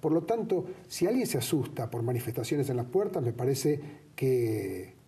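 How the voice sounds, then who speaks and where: A man talks at a moderate pace with a medium pitch and a dark, mellow tone. His voice is somewhat breathy and swings very widely in pitch. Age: 60s. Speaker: actor. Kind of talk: TV interview.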